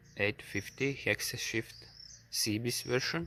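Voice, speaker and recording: A man with a medium pitch and a bright, sharp tone talks at a very slow pace with fairly even intonation. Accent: non-native. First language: not English. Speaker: farmer reviewing his tractor. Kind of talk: product review walkthrough. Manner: halting, many filler sounds; reading from notes.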